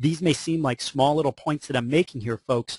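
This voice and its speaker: A man talks at a fairly quick pace, his pitch fairly high with ordinary variation and his voice somewhat breathy. The sound is dry and close with no echo, over a quiet background. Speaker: mortgage marketing trainer. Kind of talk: webinar presentation. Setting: online webinar. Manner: fast; animated.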